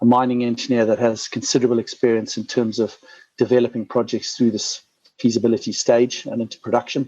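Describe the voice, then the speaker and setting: This man speaks at a medium pitch with a Zimbabwean accent. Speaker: mining company CEO. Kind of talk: investor presentation. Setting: conference call. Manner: frequent fillers and repetitions.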